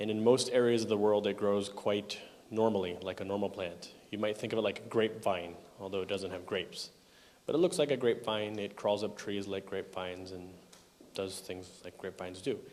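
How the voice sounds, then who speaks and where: A man with a Canadian accent and an unremarkable speaking voice talks at a fairly quick pace and fairly low pitch, with fairly even intonation and big swings in loudness. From Canada. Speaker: software conference speaker. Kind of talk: technical conference talk. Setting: conference hall with audience.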